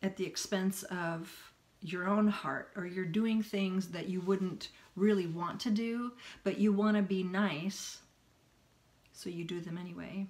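A woman talks at a fairly slow pace, leaving long, frequent pauses. Her intonation stays fairly even. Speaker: self-help vlogger. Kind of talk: casual vlog chat. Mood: earnest, reflective. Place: home room. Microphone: phone near.

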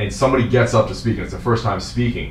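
There is audible room echo and light background noise as a man with a New Jersey accent speaks at a very fast pace and a medium pitch. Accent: New Jersey American English. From New Jersey, US. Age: 40s. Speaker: fitness coach. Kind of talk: casual interview. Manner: casual, laughs often. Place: meeting room.

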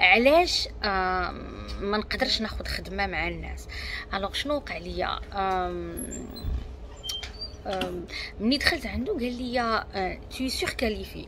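A woman with a Moroccan accent speaks at a very slow pace, with long, frequent pauses. Noticeable background noise runs throughout. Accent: Moroccan Darija. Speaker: self-help coach. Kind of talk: self-development talk to camera. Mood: calm, reflective. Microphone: earbuds.

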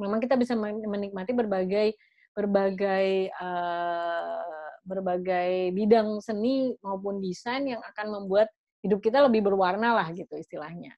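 A woman with an unremarkable speaking voice talks at medium pitch and a fairly slow pace, with big swings in loudness. The sound is dry with no echo over a quiet background. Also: ordinary pitch variation. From Indonesia. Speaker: webinar moderator, art space founder; webinar moderator. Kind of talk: moderated panel discussion. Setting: video call webinar. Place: home room. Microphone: video call.

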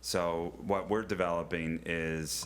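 A male voice comes through. It sits very low and deep. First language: not English. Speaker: zoo director. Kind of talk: public presentation. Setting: county board meeting.

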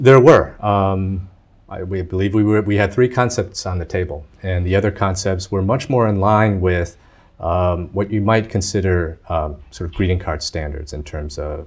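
Somewhat breathy, a man's very deep, low voice moves at a moderate pace with ordinary pitch variation. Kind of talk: interview answer. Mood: relaxed, smiling. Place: studio.

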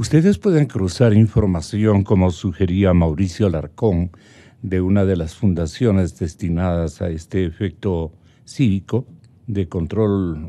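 A man's fairly low voice with a dark, mellow tone, ordinary pitch variation and a fairly slow pace. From Ecuador. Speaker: TV host interviewer. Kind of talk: political interview and panel discussion. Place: studio. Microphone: studio mic.

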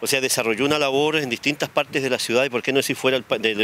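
A man speaks at a very fast pace with fairly even intonation. The sound is dry with no echo, over light background noise. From Chile. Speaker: city mayor. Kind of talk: interview answer. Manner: somber. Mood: somber, grieving tribute. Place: street. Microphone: handheld.

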